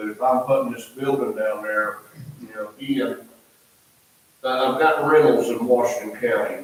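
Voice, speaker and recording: Moderately paced speech comes from a man with an American accent. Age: 60s. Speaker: contractor addressing planning commission. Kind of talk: public comment at town meeting. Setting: town planning commission meeting. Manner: halting, repeats words.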